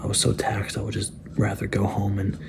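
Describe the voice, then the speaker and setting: A soft-spoken man talks at a fairly quick pace in a fairly low pitch against noticeable background noise. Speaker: fitness vlogger. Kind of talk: casual vlog talk. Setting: at home, night.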